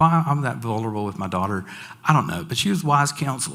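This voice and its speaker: A man talks at a fairly quick pace in a Southern US accent. His pitch swings very widely. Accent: Southern American. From Franklin, Tennessee. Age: 60s. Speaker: school staff member. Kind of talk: personal testimony talk to an audience.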